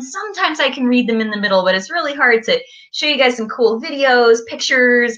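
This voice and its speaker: Against a quiet background, a woman with a high pitch talks at a very fast pace with lively intonation. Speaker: presenter. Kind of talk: lesson for young children. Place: home room. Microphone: webcam.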